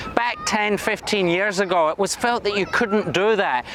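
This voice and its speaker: A man's voice shows ordinary pitch variation while noticeable background noise carries on around it. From Scotland. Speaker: state government minister. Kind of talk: recorded conference address.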